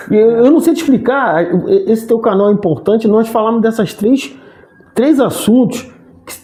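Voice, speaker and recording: Over noticeable background noise, a man speaks with a high pitch and lively intonation. He keeps a moderate pace with long, frequent pauses. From Rio de Janeiro, Brazil. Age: 60s. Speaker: sports commentator and actor. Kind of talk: interview conversation. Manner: halting, frequent restarts.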